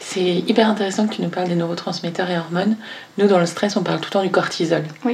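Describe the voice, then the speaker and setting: Talking very fast, a woman has a medium pitch and fairly even intonation. Audible room echo and noticeable background noise fill the recording. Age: 30s. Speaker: podcast host and company founder. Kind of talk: interview.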